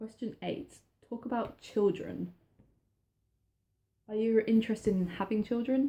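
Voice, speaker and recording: A woman speaks at a moderate pace, leaving long, frequent pauses. Her tone is dark and mellow, somewhat breathy, with fairly even intonation. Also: fairly high pitch for a woman. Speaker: vlogger. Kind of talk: personal vlog talk. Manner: halting.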